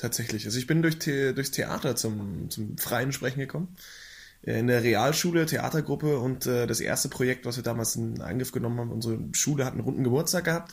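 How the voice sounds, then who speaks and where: At a fairly quick pace, a man with a medium pitch and ordinary pitch variation sounds somewhat breathy. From Swabia, near Augsburg, Germany. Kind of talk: casual chat.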